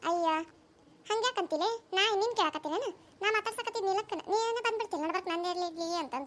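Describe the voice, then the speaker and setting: Using a cartoonish character voice with an extremely high pitch, a woman speaks at a moderate pace. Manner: coaxing, chatty.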